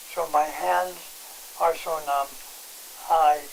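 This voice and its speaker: Noticeable background noise sits behind a man speaking in a fairly high voice. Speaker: patient giving testimonial. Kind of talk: interview testimony. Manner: halting.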